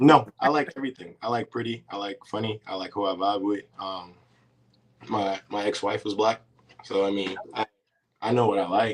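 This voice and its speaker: An unremarkable speaking voice from a man, fairly low-pitched, at a moderate pace with fairly even intonation. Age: 30s. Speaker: reality TV contestant and college basketball coach. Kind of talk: casual interview.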